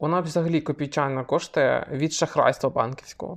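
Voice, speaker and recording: Against a quiet background, a man speaks in a fairly high, flat monotone. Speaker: podcast co-host. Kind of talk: casual chat.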